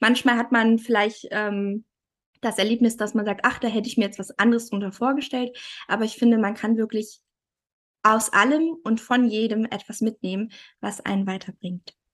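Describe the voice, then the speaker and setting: Fairly high-pitched woman at a moderate pace, with fairly even intonation and a quiet background. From Thuringia, Germany. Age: 30s. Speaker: family photographer. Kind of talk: casual interview.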